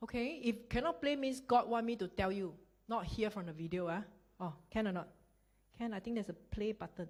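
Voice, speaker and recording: A woman with a Singaporean accent talks at a fairly quick pace, her voice fairly high and somewhat breathy. Her tone is animated and her intonation lively. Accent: Singaporean English (Singlish). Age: 40s. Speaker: network marketing speaker. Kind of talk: motivational business talk. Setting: stage with audience. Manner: fast.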